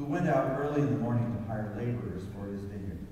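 A man speaks with ordinary pitch variation. There is strong room echo and light background noise. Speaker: worship leader or pastor. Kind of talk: scripture reading and sermon-style prayer. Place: church. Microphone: pa.

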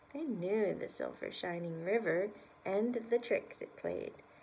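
The clip is plain reading aloud.

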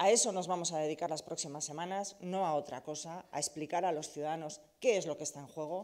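Against a quiet background, a woman speaks fairly quickly with ordinary pitch variation. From Basque Country, Bilbao (Deusto). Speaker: politician, party leader and candidate. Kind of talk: campaign speech. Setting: press event. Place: hall.

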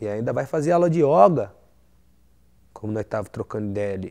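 A man's dark, mellow voice with very wide pitch swings over a quiet background. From Brazil. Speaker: rapper. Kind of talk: interview. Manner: animated. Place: home room.

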